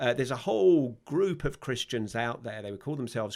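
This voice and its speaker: A man with a London accent talks at a fairly quick pace and a medium pitch. The recording is very clean, with a silent background. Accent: London English accent, stands out in Ireland. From London, England (Palmers Green, north London). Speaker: vicar, former army officer. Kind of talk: podcast interview. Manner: hesitant, many fillers.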